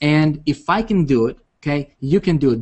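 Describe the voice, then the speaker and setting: A man speaks with a non-native accent and an animated tone. His pitch varies in an ordinary way. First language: not English. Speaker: internet marketing coach. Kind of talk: webinar presentation. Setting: video call. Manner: halting.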